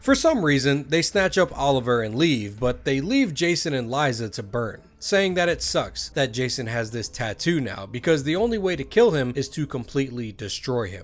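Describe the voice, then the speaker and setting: Speech with hardly any pauses over music in the background. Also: man, medium pitch for a man, lively intonation, moderate pace. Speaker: gaming video essayist. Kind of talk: documentary-style narration.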